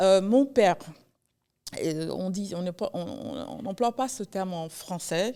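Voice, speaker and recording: A woman's medium-pitched voice with a dark, mellow tone, lively intonation, big swings in loudness, a very slow pace and long, frequent pauses. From New York (Haitian-born, arrived age two). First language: English (speaking French). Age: 40s. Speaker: writer. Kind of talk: podcast interview. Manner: halting, with frequent repetitions.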